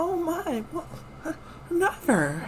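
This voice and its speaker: A female-sounding put-on character voice pitched extremely high, with clear background noise behind it. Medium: actual play. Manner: flustered, meek.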